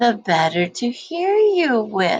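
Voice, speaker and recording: A woman speaks in a put-on character voice pitched high. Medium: read story. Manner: gentle, sweetly coaxing.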